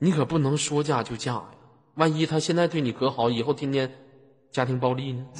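This man has a fairly high voice and talks at a fairly quick pace. He stops often for long pauses over noticeable background noise. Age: 20s. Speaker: online voice-chat room host. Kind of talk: casual chat. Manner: animated.

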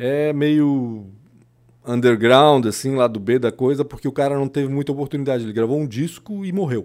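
With a normal speaking voice, a man talks at a moderate pace in a fairly high pitch, with ordinary pitch variation. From southern Brazil, Blumenau (born in Chile). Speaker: journalist. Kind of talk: casual chat.

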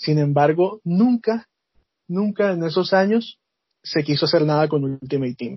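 A man with a plain, everyday voice speaks at a fairly slow pace. His pitch sits fairly high and shows ordinary variation. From Colombia, Barranquilla (Caribbean coast). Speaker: esports FIFA player. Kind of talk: interview.

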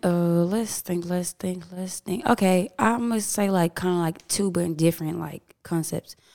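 With ordinary pitch variation, a woman talks at a fairly slow pace. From Houston, Texas. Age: 20s. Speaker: DJ. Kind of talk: casual chat.

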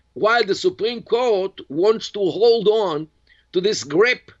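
A man speaks with an Israeli accent and a lively intonation. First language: Hebrew. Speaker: professor and Middle East expert. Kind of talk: interview. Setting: video call.

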